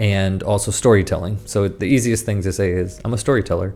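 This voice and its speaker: Music in the background behind a man with an American accent and a fairly low pitch. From United States. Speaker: communication coach and former actor. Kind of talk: casual chat.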